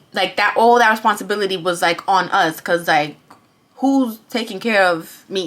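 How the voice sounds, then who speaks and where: A woman talks in an animated tone with a New York accent. Her pitch sits in the medium range. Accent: New York City. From Bronx, New York. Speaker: vlogger. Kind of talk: testimony. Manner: fast.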